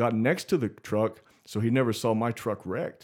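Medium-pitched man's voice with an American accent, on a very clean recording with a silent background. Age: 20s. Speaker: podcast guest. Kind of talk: casual chat.

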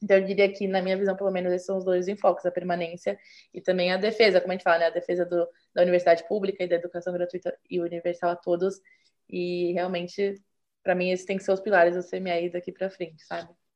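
A woman speaks at a very fast pace with a medium pitch. Her intonation is monotone and flat. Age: 20s. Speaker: engineering student, former student association president. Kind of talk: interview.

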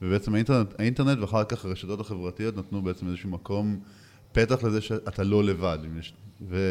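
Here is a man with a plain, everyday voice, pitched fairly low. He moves at a fairly quick pace with fairly even intonation. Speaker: podcast co-host. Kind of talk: casual interview chat.

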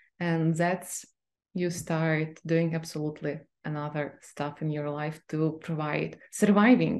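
A woman with a Ukrainian accent speaks at a fairly slow pace in a very deep, low voice, her intonation fairly even. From Ukraine. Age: 30s. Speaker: literary scholar. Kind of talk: interview.

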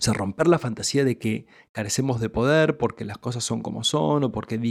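This man has a normal speaking voice of medium pitch with ordinary pitch variation. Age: 30s. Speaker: spiritual teacher podcaster. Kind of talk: spiritual teaching monologue.

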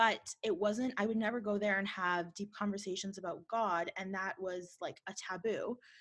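With a Canadian accent, a woman talks at a moderate pace with hardly any pauses. She has a plain, everyday voice, medium pitch and fairly even intonation. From Canada, Winnipeg. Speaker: podcast host. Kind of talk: casual interview; scripted intro narration.

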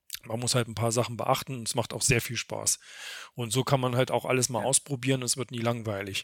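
A man's medium-pitched voice, flat and monotone, at a fairly quick pace, dry and close with no echo, in a very clean recording with a silent background. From Thuringia, Germany. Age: 40s. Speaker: event organizer. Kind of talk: podcast interview.

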